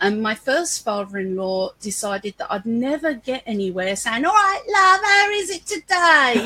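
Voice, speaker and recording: A woman with a London accent uses a raised, projected voice with a bright, sharp tone and high pitch. Her pitch swings very widely at a moderate pace with hardly any pauses. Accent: London English with a touch of Cockney. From London, East End. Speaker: business owner. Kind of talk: interview conversation. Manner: animated.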